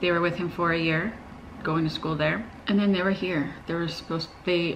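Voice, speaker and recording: Over light background noise, a woman with a fairly low pitch speaks at a moderate pace in monotone, flat intonation. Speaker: parent vlogger. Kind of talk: casual vlog chat. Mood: upset, earnest. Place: home room.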